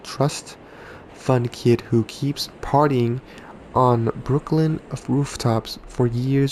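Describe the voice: With fairly even intonation, the text is read aloud plainly.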